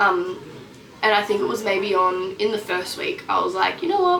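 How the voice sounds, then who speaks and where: Speaking with an Australian accent, a woman keeps a fairly quick pace. The room echo is audible. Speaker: missionary trainee vlogger. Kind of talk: casual vlog update. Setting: outdoors in a treehouse. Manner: filler-heavy, chatty.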